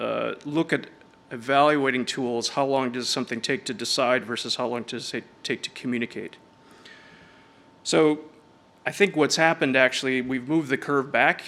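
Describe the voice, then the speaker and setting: A man speaks at a medium pitch in a bright, sharp tone with ordinary pitch variation. His speech has long, frequent pauses. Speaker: design technology director giving a conference talk. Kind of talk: conference presentation. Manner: fast.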